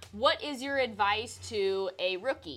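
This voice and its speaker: A woman speaking at a very slow pace. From Louisiana. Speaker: podcast host, pro CrossFit athlete. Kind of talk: casual chat.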